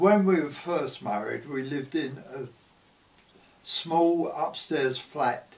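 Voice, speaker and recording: Over noticeable background noise, a man with a London accent talks at a very slow pace with ordinary pitch variation. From London, Paddington. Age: 90s. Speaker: grandparent sharing memories. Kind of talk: oral history interview.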